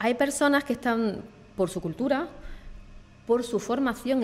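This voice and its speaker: A woman is speaking. She has an Andalusian accent. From Andalusia, southern Spain. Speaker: e-learning and digital marketing professional. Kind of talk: podcast interview. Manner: hesitant, with fillers.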